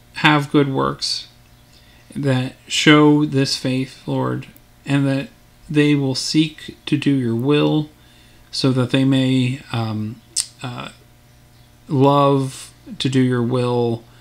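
A man speaks in a flat monotone. His pace is very slow, with long, frequent pauses. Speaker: Sunday school teacher. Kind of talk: bible lesson then spoken prayer. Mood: calm, earnest.

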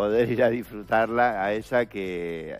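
A man speaks at a fairly low pitch, with faint music in the background.

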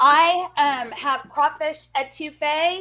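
Against light background noise, a woman uses a raised, projected voice with a bright, sharp tone and ordinary pitch variation. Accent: American. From Texas. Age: 40s. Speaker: cooking co-host. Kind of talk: casual chat. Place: home room. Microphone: video call.

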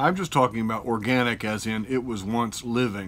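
The man's tone is bright and sharp as he goes along at a moderate pace. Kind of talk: tutorial. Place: garage. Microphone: phone near.

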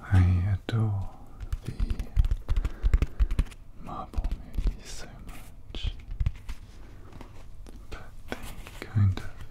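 A man speaks very slowly, with long, frequent pauses. Loud background noise runs underneath. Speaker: ASMR creator. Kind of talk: ASMR soft-spoken tapping video. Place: home room. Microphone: studio mic.

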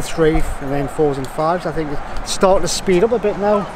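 A man with a Northumbrian accent talks at a moderate pace with ordinary pitch variation, amid noticeable background noise and audible room echo. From Northumberland, northern England. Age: 40s. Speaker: tennis fan in a queue. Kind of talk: street interview. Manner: halting.

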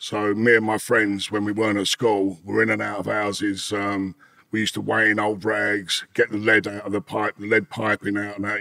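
Over a quiet background, a man talks at a moderate pace in a fairly low pitch with a bright, sharp tone. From East London, England. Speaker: former smuggler and ex-convict. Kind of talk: interview storytelling. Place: home room. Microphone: studio mic.

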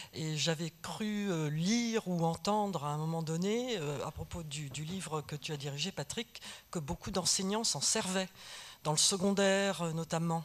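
In a plain, everyday voice, the speaker talks at a fairly slow pace with ordinary pitch variation. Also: woman, fairly low pitch for a woman. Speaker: audience member. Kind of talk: audience question. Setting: stage with audience. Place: hall. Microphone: podium.

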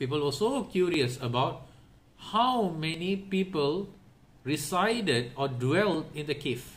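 A man's fairly slow delivery with lively intonation. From Singapore. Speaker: Islamic religious teacher; religious teacher. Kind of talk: religious lecture. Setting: online session. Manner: repetitive, with fillers.

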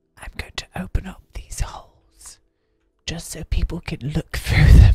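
A man is whispering at a fairly slow pace. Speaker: gaming content creator / video host. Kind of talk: whispered ASMR game-building commentary. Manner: casual, chatty, mildly exasperated, joking. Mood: playful, joking. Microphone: studio mic.

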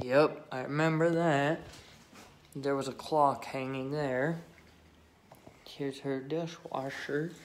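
Audible room echo fills the space as a man talks slowly, leaving long, frequent pauses. His medium-pitched voice keeps a fairly even intonation.

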